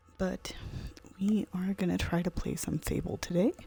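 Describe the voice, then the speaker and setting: A woman talks at a fairly slow pace. Behind her, music is playing. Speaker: gaming streamer. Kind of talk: let's play commentary. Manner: casual.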